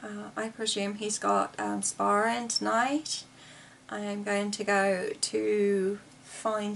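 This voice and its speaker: Over noticeable background noise, a woman with an English accent talks very slowly, her loudness swinging widely. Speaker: video blogger with COPD. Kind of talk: casual vlog chat. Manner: paced to regulate breathing.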